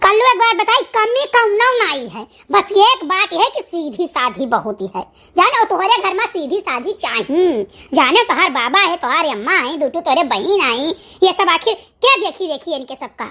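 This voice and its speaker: A woman uses a cartoonish character voice at an extremely high pitch, with very wide pitch swings. Her pace is moderate. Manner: lecturing, rustic.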